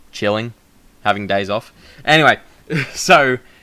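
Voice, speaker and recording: A loud man with an Australian accent, a bright, sharp tone and lively intonation. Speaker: vlogger. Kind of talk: casual chat. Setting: home recording, shared mic. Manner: projecting.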